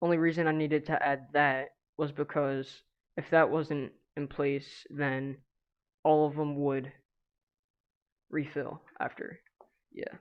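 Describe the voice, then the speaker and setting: A fairly slow pace marked by long, frequent pauses. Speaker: gaming streamer. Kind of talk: live stream tutorial. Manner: halting.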